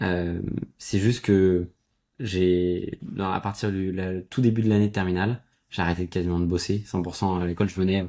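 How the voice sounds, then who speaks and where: Monotone and flat, a man speaks at a moderate pace. His voice is very deep and low, with a dark, mellow tone. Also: very clean recording, silent background. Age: 20s. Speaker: entrepreneur. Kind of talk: podcast interview.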